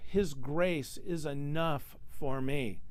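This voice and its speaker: A man speaks with lively intonation, and audible room echo follows his words. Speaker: pastor. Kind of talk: sermon. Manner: halting, with many repeated words.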